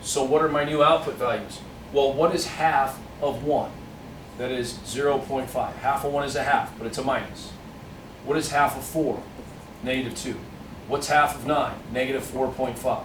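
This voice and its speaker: With long, frequent pauses at a moderate pace, a man speaks in a fairly high, monotone, flat voice over noticeable background noise and audible room echo. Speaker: math teacher. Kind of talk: tutorial.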